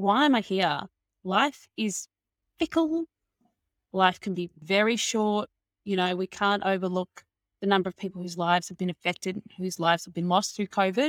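This is a normal speaking voice at a moderate pace with ordinary pitch variation and big swings in loudness, in a very clean, dry, close recording with a silent background and no echo. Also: woman, medium pitch for a woman. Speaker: marketing consultant and coach. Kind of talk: casual interview chat.

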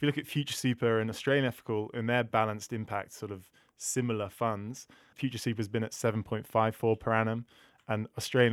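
Very fast, flat, monotone speech from a man at medium pitch, dry and close with no echo, on a very clean recording with a silent background. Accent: British. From UK. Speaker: sustainability manager at a finance comparison company. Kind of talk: podcast interview.

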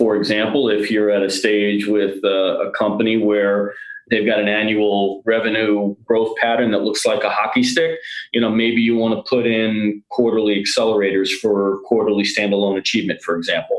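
A man with an American accent uses a normal speaking voice, fairly low in pitch with fairly even intonation, at a moderate pace. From New York area. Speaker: sales executive. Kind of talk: podcast interview.

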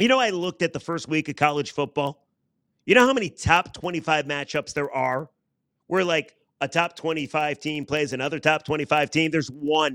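Animated and fairly quick, a man with a fairly high voice speaks with ordinary pitch variation. The recording is very clean and dry, with a silent background and no echo. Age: 40s. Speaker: sports radio podcast host. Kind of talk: sports opinion monologue. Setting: ballpark.

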